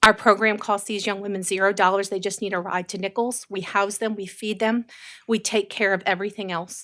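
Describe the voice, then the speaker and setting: In a very clean recording with a silent background, a woman speaks at a fairly quick pace and a fairly high pitch. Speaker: nonprofit program director presenting to council. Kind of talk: public presentation at council meeting. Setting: council meeting chamber. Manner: fast.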